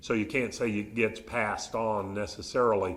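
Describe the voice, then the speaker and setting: A medium-pitched man with a Southern US accent. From Arkansas, US South. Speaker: behavioral neurologist. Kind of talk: public talk with audience Q&A. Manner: conversational, polite.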